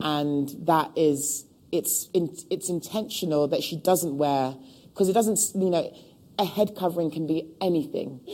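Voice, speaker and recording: A woman with a London accent, very deep and low in pitch, dark and mellow in tone, at a moderate pace with ordinary pitch variation. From London (Hackney), England. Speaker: costume designer. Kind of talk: public talk interview. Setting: stage with live audience.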